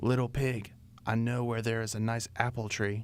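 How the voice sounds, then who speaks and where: A man puts on a character voice, speaking at a moderate pace in a medium pitch with monotone, flat intonation. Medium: read story. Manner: sly.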